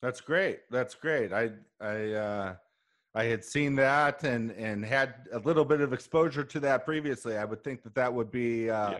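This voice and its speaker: An ordinary speaking voice with an American accent, a moderate pace and ordinary pitch variation. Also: man, medium pitch for a man. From Chicago. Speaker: business podcast host. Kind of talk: casual interview. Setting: remote call from home.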